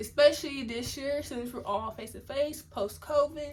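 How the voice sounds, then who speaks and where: A woman with an American accent, at a moderate pace and fairly even intonation. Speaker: university student. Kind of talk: casual talk to camera. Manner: stuttering.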